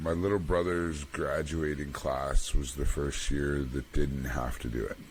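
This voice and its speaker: Man with a Canadian accent at a fairly slow pace, amid noticeable background noise. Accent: Canadian accent, still has it. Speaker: podcast co-host. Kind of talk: casual chat.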